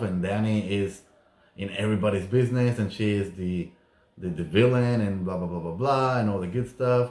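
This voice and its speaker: This speaker has a non-native accent and talks at a fairly quick pace with fairly even intonation. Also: man. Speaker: YouTuber recapping reality TV. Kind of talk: casual vlog recap.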